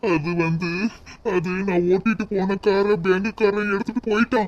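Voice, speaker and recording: The speaker uses a cartoonish character voice at a middle pitch. The pace is fairly slow. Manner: weary, pleading.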